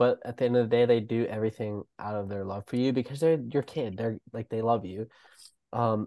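This man has a normal speaking voice, pitched in the medium range, with fairly even intonation at a fairly quick pace. The sound is dry and close with no echo over a quiet background. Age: 20s. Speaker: podcast host. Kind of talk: casual chat.

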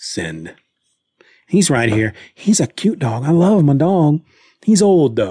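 Very slow, with long, frequent pauses, a man speaks in a fairly high, somewhat breathy voice of dark, mellow tone and very wide pitch swings. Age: 40s. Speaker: podcast host. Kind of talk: casual solo chat. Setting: livestream. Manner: casual, hesitant.

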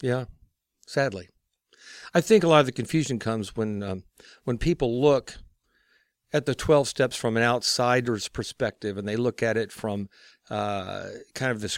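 In a very clean recording with a silent background and a dry, close sound with no echo, a man speaks at a moderate pace in a normal speaking voice, with medium pitch, ordinary pitch variation and an American accent. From Texas. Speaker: recovery ministry guest, recovering alcoholic. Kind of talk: interview on faith and twelve-step recovery.

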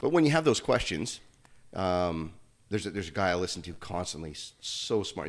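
A man speaks with a slight Canadian accent and a very deep, low pitch. The recording is very clean, with a silent background. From Canada. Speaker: gym owner, former pro hockey player. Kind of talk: casual chat.

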